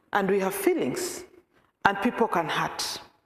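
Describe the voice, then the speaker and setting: Speaking at a medium pitch with a Kenyan accent, a woman is heard with audible room echo. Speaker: peace worker and programs officer. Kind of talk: talk to a church congregation. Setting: church meeting, some on video call.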